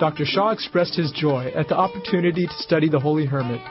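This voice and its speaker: A man's very fast, fairly high-pitched speech with ordinary pitch variation, music in the background. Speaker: TV show host. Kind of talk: TV documentary narration.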